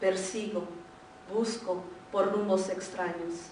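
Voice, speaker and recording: A woman talks at a moderate pace with fairly even intonation, with noticeable background noise and audible room echo around her. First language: Spanish. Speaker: poet. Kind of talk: poetry reading; casual introduction.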